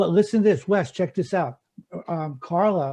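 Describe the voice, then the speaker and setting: A man speaks at a fairly quick pace with a somewhat breathy, dark and mellow tone. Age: 60s. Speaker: rock guitarist. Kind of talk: casual chat. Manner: halting.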